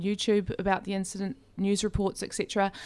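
A woman with an Australian accent speaks at a fairly quick pace and a medium pitch. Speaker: community radio co-host. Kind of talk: interview. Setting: studio.

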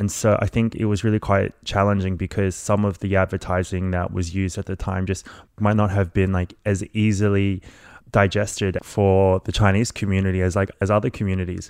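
With an Australian accent, a man talks fairly quickly at a fairly low pitch in a monotone, flat way against a quiet background. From Melbourne, Australia (born in Malaysia). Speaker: marriage equality campaigner. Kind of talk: interview.

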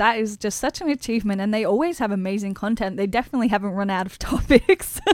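A woman's fairly high voice in an Australian accent at a very fast pace with hardly any pauses, over noticeable background noise. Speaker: radio presenter. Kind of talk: radio presenting.

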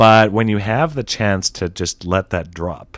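A man with a Canadian accent at a moderate pace, in a very clean recording with a silent background. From Canada. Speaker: video game writer and designer. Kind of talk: interview. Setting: radio studio. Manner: halting, many fillers and restarts.

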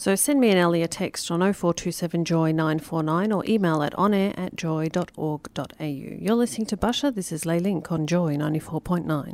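Hardly pausing, a woman with a normal speaking voice talks at a fairly quick pace in a fairly low pitch with ordinary pitch variation. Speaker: radio host. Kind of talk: radio show interview, casual chat. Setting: studio. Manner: chatty, upbeat, laughing.

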